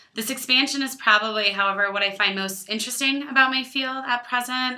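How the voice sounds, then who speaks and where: A woman with an Illinois accent speaks in a bright, sharp tone with fairly even intonation. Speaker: student. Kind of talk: class presentation to camera.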